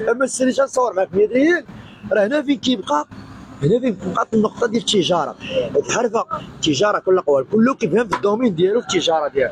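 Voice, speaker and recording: Over noticeable background noise, a man speaks very fast and high in an animated tone, with lively intonation and very even loudness. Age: 40s. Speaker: fish wholesaler. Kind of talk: street interview. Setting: wholesale fish market.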